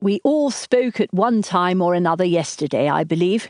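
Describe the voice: A man's strained, high-pitched put-on character voice, moderate in pace, very even in loudness, lively in intonation, dry and close with no echo.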